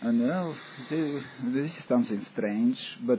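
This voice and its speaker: A man with a non-native accent speaks with lively intonation amid noticeable background noise. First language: not English. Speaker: audience member asking questions. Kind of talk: question and answer session. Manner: halting.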